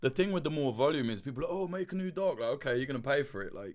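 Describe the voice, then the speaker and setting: A man's fairly high-pitched, animated voice at a very fast pace. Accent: London. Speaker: documentary journalist and channel host. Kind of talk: livestream chat answering superchats. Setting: livestream. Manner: loud.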